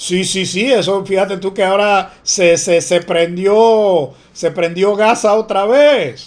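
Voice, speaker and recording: Animated and high-pitched, a man speaks with a Panamanian accent and ordinary pitch variation. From Panama City area, Panama. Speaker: teacher. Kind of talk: online class lecture.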